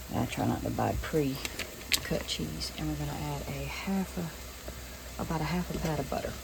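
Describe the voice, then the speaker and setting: Amid noticeable background noise and audible room echo, a woman in a Southern US accent talks at a fairly slow pace with hardly any pauses. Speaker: home cooking video creator. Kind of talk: cooking tutorial. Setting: home kitchen. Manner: casual, conversational; quiet, keeping voice down.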